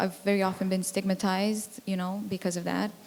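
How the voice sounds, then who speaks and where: A woman with a Romanian accent speaks at a moderate pace in a medium pitch, her intonation flat and monotone and her voice somewhat breathy. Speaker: music tech entrepreneur. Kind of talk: panel discussion.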